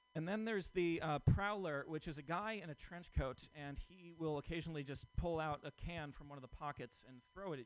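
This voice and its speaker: Over music in the background, a man with a fairly high pitch talks at a fairly quick pace with ordinary pitch variation. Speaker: comedian. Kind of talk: stand-up.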